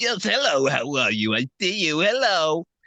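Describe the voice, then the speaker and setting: In a put-on character voice, a man talks at a moderate pace, fairly high in pitch, with very wide pitch swings. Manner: playful, goofy.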